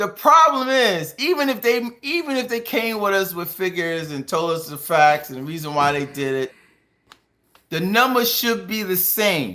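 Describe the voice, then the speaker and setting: A raised, projected voice, bright and sharp in tone, with very wide pitch swings at a moderate pace. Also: man, high pitch for a man. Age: 50s. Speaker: podcast co-host. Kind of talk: casual chat.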